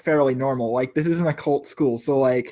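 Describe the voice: At a moderate pace, a man speaks at medium pitch with a dark, mellow tone. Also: ordinary pitch variation.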